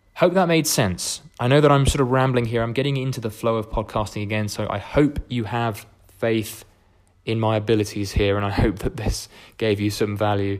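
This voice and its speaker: A man speaks with a southern English accent. His pitch is medium. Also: ordinary pitch variation, very clean recording, silent background. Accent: English (southern, educated). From England. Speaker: podcast host, coach. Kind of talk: casual solo monologue. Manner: fast; rambling, hesitant fillers.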